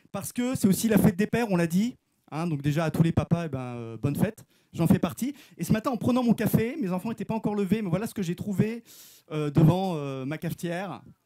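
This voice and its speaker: Loud and lively in intonation, a man speaks with a high pitch and a dark, mellow tone, in a dry, close sound with no echo. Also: fairly quick pace. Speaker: preacher. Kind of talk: sermon. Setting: church. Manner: casual.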